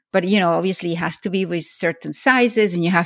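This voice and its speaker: Fairly quick speech from a woman with a fairly low pitch, vocal fry and ordinary pitch variation, in a dry, close sound with no echo. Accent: Spanish. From Venezuela. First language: Spanish. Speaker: podcast host. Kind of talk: interview.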